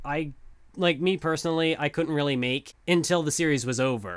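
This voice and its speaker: A man at a fairly high pitch with lively intonation and a moderate pace, in a very clean recording with a silent background. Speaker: anime video essayist. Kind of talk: casual self-critique monologue. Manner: halting, many false starts.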